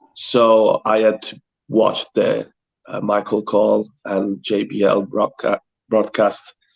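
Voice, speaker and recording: On a dry, close sound with no echo, a man with a strong Italian accent talks at a medium pitch in a monotone, flat intonation. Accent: thick Italian. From Italy. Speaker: pro wrestler. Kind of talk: interview. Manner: halting.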